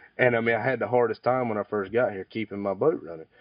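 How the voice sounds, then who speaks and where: A man with an American accent, fairly even intonation and a very fast pace. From eastern North Carolina. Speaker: commercial fisherman. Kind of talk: oral history interview answer. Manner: casual, conversational.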